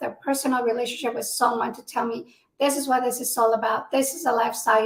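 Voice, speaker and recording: Speaking at a moderate pace with fairly even intonation, a woman with a Spanish accent has a high pitch. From Mexico. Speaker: military spouse advocate, nonprofit founder. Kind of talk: interview.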